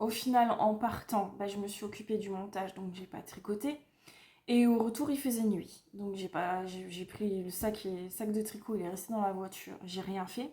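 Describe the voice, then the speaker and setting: Her tone is dark and mellow, somewhat breathy and fairly high for a woman. She speaks at a fairly slow pace with ordinary pitch variation. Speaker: knitting vlogger. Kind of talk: casual vlog. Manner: hesitant, many fillers.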